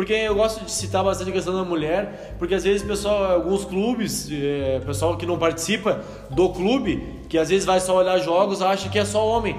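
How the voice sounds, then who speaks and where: Speaking at a moderate pace in a southern Brazilian accent, a man with a high pitch and ordinary pitch variation is heard over noticeable background noise and audible room echo. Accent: gaúcho Brazilian Portuguese. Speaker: podcast host interviewing local football club. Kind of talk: casual interview.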